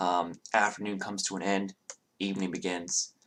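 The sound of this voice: Against a quiet background, the words come in an unforced reading voice.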